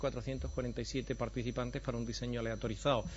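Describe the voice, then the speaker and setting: Someone with an Andalusian accent speaks at a very fast pace with audible room echo. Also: man. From Andalusia, Spain. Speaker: professor of preventive medicine. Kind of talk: conference lecture.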